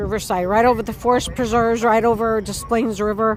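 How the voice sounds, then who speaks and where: A woman with an American accent, fairly high-pitched, at a moderate pace amid noticeable background noise. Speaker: livestreamer. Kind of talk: live street stream commentary. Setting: outdoors, music playing nearby. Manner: loud.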